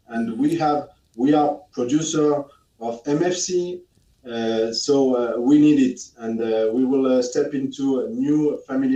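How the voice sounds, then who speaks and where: With a French accent, a man speaks at a fairly slow pace and a fairly high pitch, his tone dark and mellow and his pitch variation ordinary. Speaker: product expert. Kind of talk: webinar Q&A. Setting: live webinar studio. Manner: halting, many fillers.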